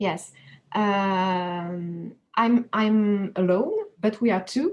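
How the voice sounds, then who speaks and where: A woman with a French accent and a medium pitch, very slow, with fairly even intonation. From France, Paris. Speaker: animator. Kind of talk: interview. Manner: halting.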